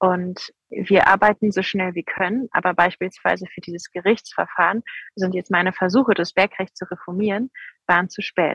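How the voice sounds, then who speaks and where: A normal speaking voice at a moderate pace, with fairly even intonation, big swings in loudness and a dry, close sound with no echo. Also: woman, medium pitch for a woman. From Rhineland, Germany. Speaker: politician, member of parliament. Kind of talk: interview. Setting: remote call from outdoor protest site.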